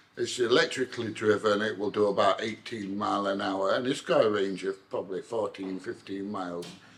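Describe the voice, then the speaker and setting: A man's fairly low voice in a British accent, fairly even in intonation, over noticeable background noise. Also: fairly quick pace, hardly any pauses. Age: 60s. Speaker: vlogger, army veteran. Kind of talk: casual vlog monologue.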